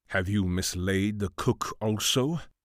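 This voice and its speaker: In a put-on character voice, a man speaks with a fairly low pitch at a fairly slow pace, on a very clean recording with a silent background. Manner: dry, sardonic, commanding.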